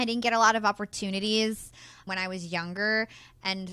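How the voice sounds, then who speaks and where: Loud, bright and sharp, a woman speaks with a New York accent at a medium pitch and fairly even intonation, on a very clean recording with a silent background. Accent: American, New York area. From New Jersey, US. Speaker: podcaster and entrepreneur. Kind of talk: interview.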